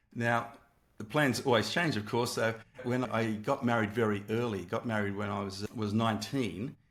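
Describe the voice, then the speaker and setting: With an Australian accent, a man talks at a moderate pace, his medium-pitched voice keeping fairly even intonation. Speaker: entrepreneur and former math teacher. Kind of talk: interview. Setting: video call. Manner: halting.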